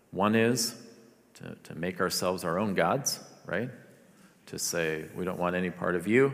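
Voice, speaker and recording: In audible room echo, a man with a very deep, low pitch speaks at a fairly slow pace with long, frequent pauses, big swings in loudness and ordinary pitch variation. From Philippines. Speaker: pastor. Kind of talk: sermon.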